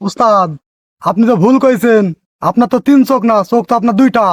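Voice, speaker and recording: A put-on character voice at fairly high pitch and a very fast pace. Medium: comedy sketch. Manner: sarcastic, blunt.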